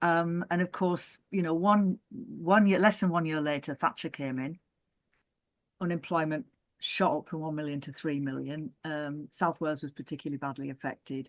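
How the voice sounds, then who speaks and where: Against a quiet background, a woman with a northern English accent speaks at a moderate pace in a very deep, low voice with ordinary pitch variation and a dry, close sound with no echo. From northern England. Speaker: former co-operative development worker and councillor. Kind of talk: oral history interview. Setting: video call. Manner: halting.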